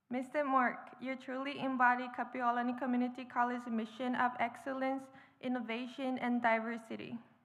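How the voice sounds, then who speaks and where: Audible room echo surrounds a woman with a high pitch. She talks at a fairly quick pace in a monotone, flat intonation. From Japan. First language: Japanese. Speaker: graduating student, commencement speaker. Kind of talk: commencement speech. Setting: stage with audience. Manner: formal.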